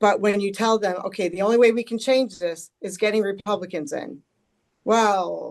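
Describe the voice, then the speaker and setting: At a moderate pace, a woman talks in an unremarkable speaking voice, medium in pitch with ordinary pitch variation. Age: 60s. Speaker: policy expert. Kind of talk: panel discussion.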